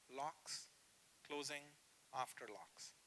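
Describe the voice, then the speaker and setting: A man speaks in a bright, sharp, animated tone. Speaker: professor giving a workshop. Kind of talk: workshop lecture. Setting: room with live audience.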